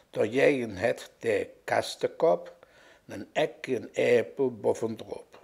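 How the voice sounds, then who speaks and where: A man with a Cologne accent. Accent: Kölsch dialect. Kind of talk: dialect poetry reading.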